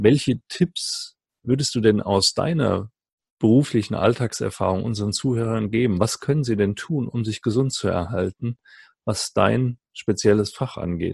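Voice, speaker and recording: A man speaks at a fairly slow pace in a medium pitch, somewhat breathy, with ordinary pitch variation. The sound is dry and close, with no echo. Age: 50s. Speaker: podcast host. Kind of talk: interview.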